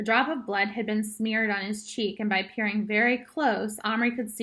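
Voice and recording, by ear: With fairly even intonation, the passage is read aloud in a natural voice.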